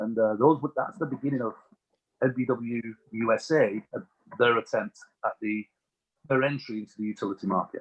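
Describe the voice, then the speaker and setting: With an English accent, a man speaks at a fairly quick pace in a medium pitch with ordinary pitch variation, breaking often with long pauses. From England. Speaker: utility industry executive. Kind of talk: podcast interview, storytelling.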